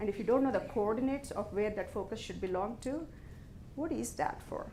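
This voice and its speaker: With audible room echo, a woman talks at a moderate pace in a dark, mellow tone, her fairly high pitch carrying lively intonation. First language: not English. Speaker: business executive giving a talk. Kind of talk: motivational talk to an audience.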